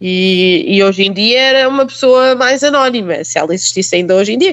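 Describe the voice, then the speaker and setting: A woman speaks at a moderate pace. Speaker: journalist. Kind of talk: casual chat.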